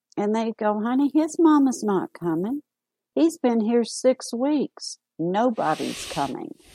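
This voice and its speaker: A woman speaks at a fairly slow pace in a high pitch with very wide pitch swings, her tone dark and mellow, and the sound is dry and close with no echo. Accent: Southern US. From US South, Arkansas. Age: 60s. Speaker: AIDS caregiver and author. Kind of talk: interview.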